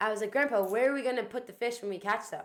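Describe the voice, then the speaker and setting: In a very clean recording with a silent background, a woman with an American accent speaks at a fairly high pitch with fairly even intonation. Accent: American, slight Irish twang. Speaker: podcast co-host. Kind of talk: casual chat.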